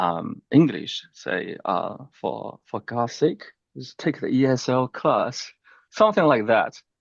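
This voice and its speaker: In a strong Chinese accent, a man speaks at a fairly slow pace with a dry, close sound, no echo and a quiet background. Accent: thick Chinese. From China. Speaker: real estate investor, military veteran. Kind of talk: interview, personal story. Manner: halting, many fillers.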